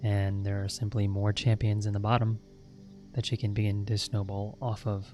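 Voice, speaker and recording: Soft-spoken and calm, a man talks at a moderate pace in a fairly low, monotone, flat voice while music plays in the background. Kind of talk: ASMR gameplay guide, soft-spoken explanation. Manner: soft-spoken, calm.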